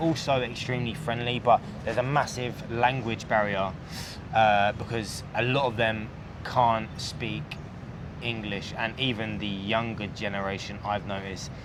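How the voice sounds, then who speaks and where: A man with a British accent at a fairly slow pace and ordinary pitch variation, amid audible room echo and noticeable background noise. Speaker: expat vlogger. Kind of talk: casual chat.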